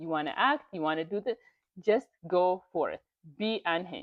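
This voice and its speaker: A woman is speaking. She has a non-native accent. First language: not English. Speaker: YouTuber reading and commenting on online stories. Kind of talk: casual motivational commentary. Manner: animated.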